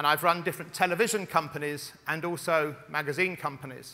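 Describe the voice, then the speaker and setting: Speaking at a fairly quick pace, a man uses a high pitch and fairly even intonation. His tone is bright and sharp. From Scotland. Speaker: media executive. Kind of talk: conference keynote speech. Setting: stage with audience.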